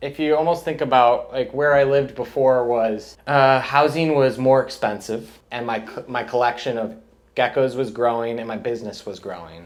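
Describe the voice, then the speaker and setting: This voice has a Midwestern US accent and a moderate pace. Pitch varies in an ordinary way, with hardly any pauses. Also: man, medium pitch for a man. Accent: General American, Midwestern. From US Midwest, Chicago suburbs, Illinois. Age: 30s. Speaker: reptile breeder. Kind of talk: interview.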